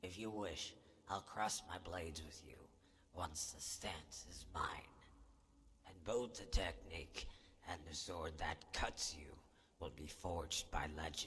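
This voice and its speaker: Whispering in a put-on character voice, a man speaks fairly slowly with long, frequent pauses and big swings in loudness. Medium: machinima. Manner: haughty, condescending.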